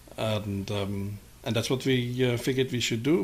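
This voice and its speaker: A man with a Dutch accent talks at a fairly slow pace, his medium pitch held in fairly even intonation. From Netherlands, Amsterdam. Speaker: publishing company co-founder. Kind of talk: interview. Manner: halting, many fillers.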